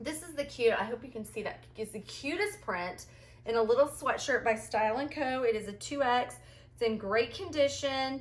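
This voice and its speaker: A woman talks at a moderate pace in a high pitch, with lively intonation and big swings in loudness. Noticeable background noise is present. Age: 40s. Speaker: thrift reseller vlogger. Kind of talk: haul video monologue. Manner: animated.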